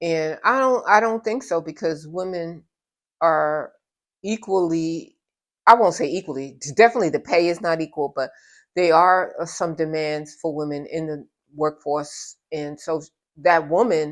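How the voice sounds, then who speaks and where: A woman speaks with a New York accent at a fairly low pitch. The recording is very clean, with a silent background. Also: ordinary pitch variation, moderate pace. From New York (Brooklyn), Trinidadian parents. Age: 70s. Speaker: interviewee sharing life story. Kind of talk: interview. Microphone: audio issue in part of video.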